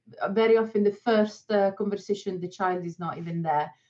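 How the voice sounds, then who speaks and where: A woman at medium pitch, speaking at a moderate pace. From Switzerland. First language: not English (Swiss). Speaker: dog trainer working with fearful children. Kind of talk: podcast interview. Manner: hesitant, many fillers.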